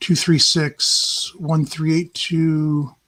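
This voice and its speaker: Here a woman speaks with a very deep, low pitch. Her voice is somewhat breathy. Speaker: stock market chart analyst livestream host. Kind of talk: live chart analysis talk. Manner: halting, many fillers.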